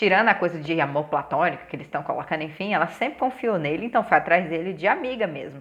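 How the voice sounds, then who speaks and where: Speaking very fast, a woman with a fairly low voice uses lively intonation and big swings in loudness. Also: hardly any pauses. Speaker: TV series reviewer. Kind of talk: casual review vlog.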